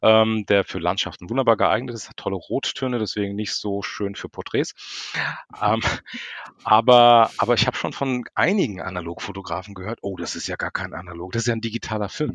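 In a dry, close recording with no echo, a man with a fairly low pitch talks at a fairly quick pace with ordinary pitch variation and big swings in loudness. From Frankfurt, Germany. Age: 40s. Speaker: street photographer. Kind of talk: casual chat. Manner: hesitant, many filler sounds.

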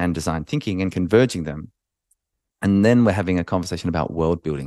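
Against a quiet background, a man with an Australian accent uses lively intonation, recorded with a dry, close sound and no echo. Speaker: podcast host. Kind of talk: solo podcast monologue. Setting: video recording. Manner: hesitant with many fillers.

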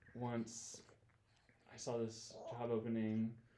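With an American accent, a man talks at a medium pitch in a dark, mellow tone, and audible room echo surrounds his voice. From Michigan, US Midwest. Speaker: worship leader. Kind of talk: casual chat. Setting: studio.

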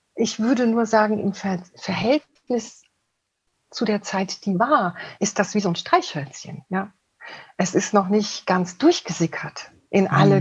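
A woman speaks at a very slow pace with a medium pitch. Her pitch variation is ordinary. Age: 50s. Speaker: couples therapist. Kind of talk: interview. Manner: halting.

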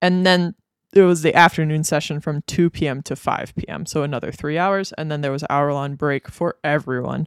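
A woman speaks in a very deep, low voice at a moderate pace with ordinary pitch variation. The recording is very clean with a silent background, and the sound is dry and close with no echo. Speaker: cartoonist and educator, podcast co-host. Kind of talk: casual chat.

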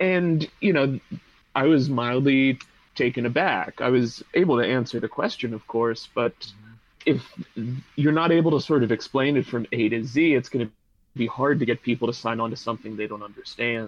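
Moderately paced, a man with an American accent and an ordinary speaking voice shows ordinary pitch variation. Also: medium pitch for a man. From Pittsburgh, US. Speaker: PhD student and labor organizer. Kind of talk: podcast interview.

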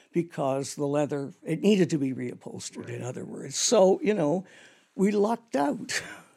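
A woman talks in a Canadian accent at a fairly quick pace, her fairly low pitch making very wide swings. Her tone is dark and mellow, with vocal fry. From Canada, Toronto. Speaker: theatre designer. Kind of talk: interview.

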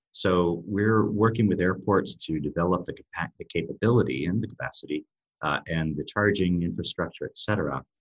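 Vocal fry runs through a man's very deep, low voice with an American accent. The sound is dry and close, with no echo. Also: ordinary pitch variation, moderate pace. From US. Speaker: race organizer and CEO. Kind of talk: casual interview. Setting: video call. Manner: hesitant, filler words.

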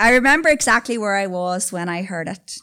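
With a Northern Irish accent, a woman of medium pitch speaks at a moderate pace in a bright, sharp tone with lively intonation, on a very clean recording with a silent background. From Newry, Northern Ireland. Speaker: storyteller. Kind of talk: storytelling performance. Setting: stage with audience.

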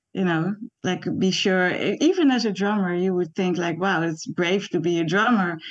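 A woman speaks with a Dutch accent at a fairly low pitch. Her pace is fairly slow, and her pitch variation is ordinary. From Netherlands. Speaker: animation artist. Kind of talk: interview. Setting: video call.

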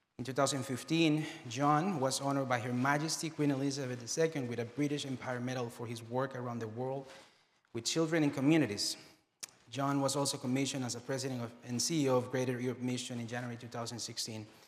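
A man at medium pitch, talking at a very fast pace with fairly even intonation. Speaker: church pastor introducing guest. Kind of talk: introduction.

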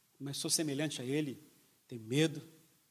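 There is audible room echo around this man's voice. He speaks in a fairly high pitch at a moderate pace. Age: 50s. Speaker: pastor. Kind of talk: sermon. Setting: church.

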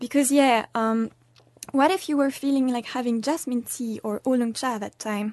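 Speaking at a moderate pace with ordinary pitch variation, a woman talks in a French accent. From France. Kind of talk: scripted narration.

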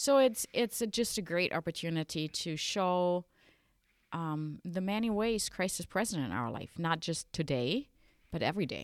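A woman's fairly low voice with lively intonation at a moderate pace, on a very clean recording with a silent background. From western Germany. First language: German. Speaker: Lutheran bishop. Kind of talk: casual interview about church traditions.

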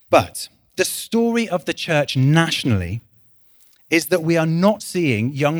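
With a West Midlands accent, a man speaks at a fairly high pitch and a fairly slow pace, using very wide pitch swings. The very clean recording has a silent background and a dry, close sound with no echo. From West Midlands, England. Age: 30s. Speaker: church leader. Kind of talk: sermon. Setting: church. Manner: conversational with frequent fillers and restarts.

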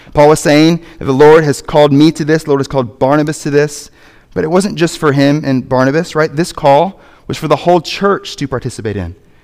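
With a normal speaking voice, a man talks at a fairly quick pace with a fairly high pitch and ordinary pitch variation. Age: 30s. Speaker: pastor. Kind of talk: sermon. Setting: church.

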